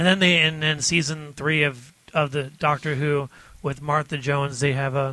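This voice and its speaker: A man with a fairly high pitch speaks in a bright, sharp tone. His intonation stays monotone and flat. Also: moderate pace. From Detroit, US Midwest. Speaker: podcast guest.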